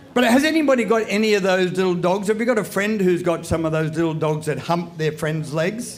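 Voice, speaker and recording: Against noticeable background noise and audible room echo, a man with an Australian accent speaks at high pitch and a moderate pace. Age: 70s. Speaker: comedian. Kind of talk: stand-up. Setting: stage with audience.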